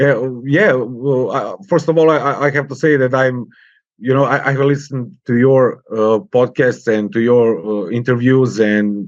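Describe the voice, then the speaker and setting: In a Serbian accent, a man talks at a moderate pace and medium pitch with ordinary pitch variation and very even loudness against a quiet background. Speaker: podcast host. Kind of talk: interview. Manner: halting, with pauses.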